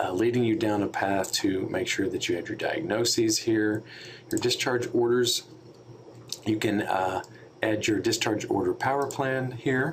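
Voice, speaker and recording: A man speaks at a fairly slow pace while noticeable background noise carries on. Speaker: software trainer for hospital staff. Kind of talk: tutorial. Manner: many filler words (um, uh).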